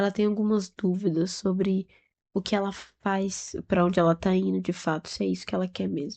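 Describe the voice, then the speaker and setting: Soft-spoken and monotone, a woman talks at a medium pitch in a dark, mellow tone over a quiet background. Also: moderate pace. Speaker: tarot reader. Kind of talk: intuitive tarot reading. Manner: speaking softly; casual, chatty.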